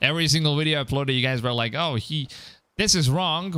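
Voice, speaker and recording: On a very clean recording with a silent background, a man with a fairly high pitch speaks at a fairly quick pace in an animated, bright and sharp tone with ordinary pitch variation. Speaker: gaming streamer. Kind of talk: live stream gameplay commentary. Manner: casual, animated.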